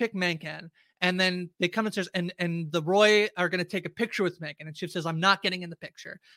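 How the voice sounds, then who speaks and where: A man's raised, projected voice, high and bright with a sharp tone, at a very fast pace with hardly any pauses and big swings in loudness, in a dry, close sound with no echo on a very clean recording with a silent background. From Canada. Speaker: podcast host. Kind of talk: casual chat.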